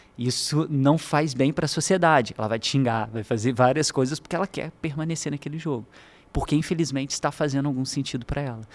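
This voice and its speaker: Fairly quick speech from a man with a fairly high pitch and ordinary pitch variation, on a very clean recording with a silent background. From Brazil, Minas Gerais (Juiz de Fora). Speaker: university professor. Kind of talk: podcast interview.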